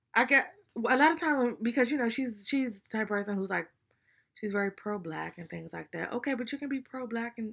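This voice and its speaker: A woman has an unremarkable speaking voice, pitched fairly high with ordinary pitch variation. She talks at a fairly quick pace in a very clean recording with a silent background. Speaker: podcast co-host. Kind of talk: casual chat.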